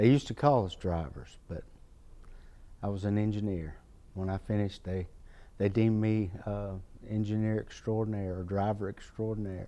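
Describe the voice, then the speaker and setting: A man's fairly low, dark and mellow voice in a Southern US accent, with fairly even intonation and long, frequent pauses. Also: moderate pace. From North Carolina, Greensboro. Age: 60s. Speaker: retired firefighter. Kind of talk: oral history interview. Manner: halting.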